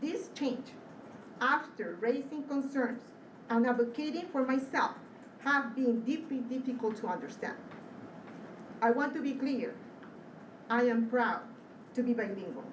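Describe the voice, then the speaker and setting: Noticeable background noise and audible room echo surround a high-pitched woman's voice. She talks at a fairly slow pace with long, frequent pauses. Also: ordinary pitch variation. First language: Spanish. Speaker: school administrator, public commenter. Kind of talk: public comment at board meeting, prepared statement. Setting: school board meeting. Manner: formal.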